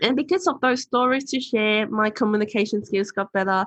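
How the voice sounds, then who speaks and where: Against a quiet background, a woman speaks at a moderate pace with ordinary pitch variation, the sound dry and close with no echo. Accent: non-native. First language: not English. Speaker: author and motivational speaker. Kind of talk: podcast interview.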